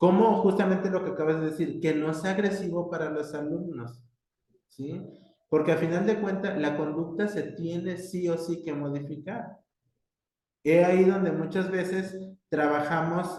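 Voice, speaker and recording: With a dark, mellow tone and fairly even intonation, the speaker goes at a fairly slow pace amid audible room echo. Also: man. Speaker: university professor. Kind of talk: lecture. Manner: hesitant, many fillers.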